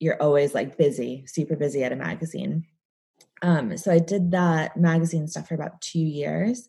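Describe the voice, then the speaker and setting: A woman's very deep, low voice, dark and mellow in tone and somewhat breathy, with a Midwestern accent, ordinary pitch variation and a moderate pace. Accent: American, Midwestern. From Chicago area, US Midwest. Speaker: celebrity and fashion stylist. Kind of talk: casual interview conversation. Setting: remote recording via Zoom. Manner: casual, chatty, laughs often.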